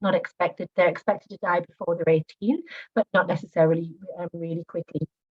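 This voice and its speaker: The voice is somewhat breathy and very fast, with fairly even intonation. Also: woman. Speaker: nurse practitioner. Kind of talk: presentation. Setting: video call. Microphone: audio cutting out.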